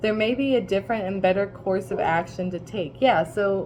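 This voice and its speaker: Noticeable background noise under a woman's voice, medium in pitch with ordinary pitch variation. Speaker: tarot reader. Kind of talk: tarot reading livestream. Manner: casual, rambling with fillers.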